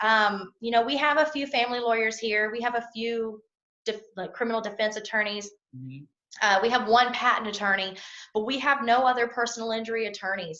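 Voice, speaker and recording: Speaking at a fairly quick pace, a woman with a Southern US accent has a fairly high pitch. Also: ordinary pitch variation. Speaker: personal injury attorney. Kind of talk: interview answer.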